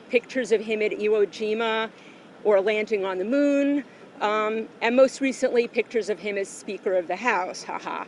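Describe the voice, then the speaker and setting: Using a normal speaking voice, a woman with an American accent talks at a moderate pace and fairly high pitch with fairly even intonation. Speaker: activist speaking at a rally. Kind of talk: prepared speech.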